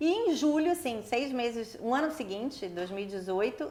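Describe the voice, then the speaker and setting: A woman's lively intonation carries through noticeable background noise. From Brazil, Rio de Janeiro. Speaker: international sports event executive. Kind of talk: interview. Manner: fast.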